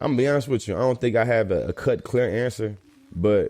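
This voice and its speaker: A man with an American accent has a dark, mellow tone. His pitch varies in an ordinary way. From Texas, Bryan. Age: 30s. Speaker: educator and anti-racism trainer. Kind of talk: podcast interview.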